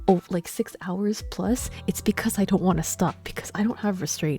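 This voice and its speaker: With music in the background, a woman at medium pitch speaks quietly at a moderate pace with ordinary pitch variation and hardly any pauses. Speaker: video game streamer. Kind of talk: casual live-stream chat. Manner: loud; quieter at night.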